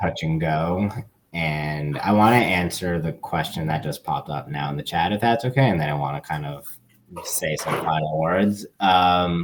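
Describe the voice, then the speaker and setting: This man has a very deep, low pitch with ordinary pitch variation. He speaks with an American accent. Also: moderate pace. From Long Island, New York. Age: 30s. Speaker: activist. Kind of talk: Q&A talk on a video call. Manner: hesitant, many fillers and repetitions.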